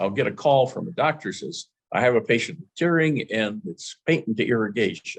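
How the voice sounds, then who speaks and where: A man's fairly high voice with vocal fry, very wide pitch swings and a moderate pace. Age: 70s. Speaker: eye surgeon lecturer. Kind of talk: lecture. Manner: halting.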